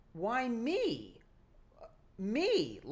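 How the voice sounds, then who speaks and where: Her voice high-pitched, a woman performs a put-on character voice. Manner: bitchy, mocking, condescending.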